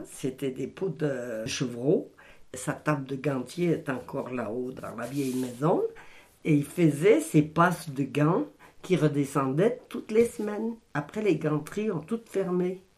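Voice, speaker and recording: Her voice very deep and low, a woman speaks very slowly with lively intonation. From France, Isère (Saint-Aupre area near Voiron). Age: 70s. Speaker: retired textile mill worker. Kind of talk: oral history interview. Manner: halting.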